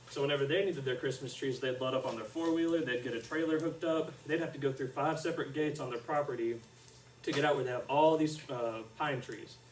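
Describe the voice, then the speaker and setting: Speaking with an Arkansas accent, a man talks at a fairly quick pace and fairly high pitch amid audible room echo and noticeable background noise. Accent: Southern US (Arkansas). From central Arkansas (Conway area). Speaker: student teacher. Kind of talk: classroom lesson. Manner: soft-spoken.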